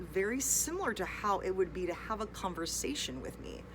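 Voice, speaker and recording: A woman with an American accent, with audible echo from the room. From United States. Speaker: English teacher. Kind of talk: casual online lesson. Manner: unscripted, rambling train of thought.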